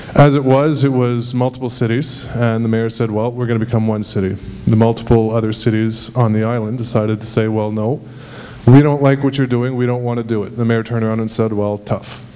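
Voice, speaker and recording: Over noticeable background noise and audible room echo, a man talks at a fairly quick pace. His medium-pitched voice stays monotone and flat. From Montreal, Quebec. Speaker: audience member. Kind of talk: public comment at meeting. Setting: public meeting hall with audience.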